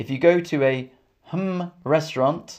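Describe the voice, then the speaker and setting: A man with a London accent at a very slow pace. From England; Camden, London. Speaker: English teacher. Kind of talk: live stream English lesson. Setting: live stream with chat. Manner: clear, repetitive.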